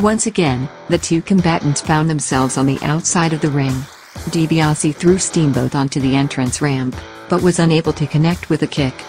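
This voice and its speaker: A woman's very deep, low voice at a moderate pace, with ordinary pitch variation, very even loudness and music in the background. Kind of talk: wrestling highlight recap narration.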